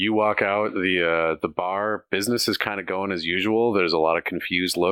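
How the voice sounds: Natural reading voice, nothing more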